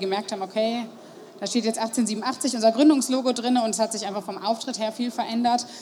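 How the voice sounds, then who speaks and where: Over noticeable background noise, a woman speaks at a moderate pace in a fairly high pitch with fairly even intonation. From Germany, Marburg (Hesse). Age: 30s. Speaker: pastry shop owner. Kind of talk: interview. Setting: stage at a trade fair.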